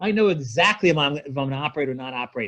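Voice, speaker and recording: Speaking at a fairly quick pace, a man with an unremarkable speaking voice uses lively intonation at a fairly high pitch. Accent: American. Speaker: spine surgeon. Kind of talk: lecture. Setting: video call.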